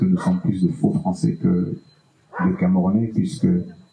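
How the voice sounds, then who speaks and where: The pace is moderate while the pitch swings very widely. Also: man. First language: Bassa (speaking French). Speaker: musician. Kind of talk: panel discussion.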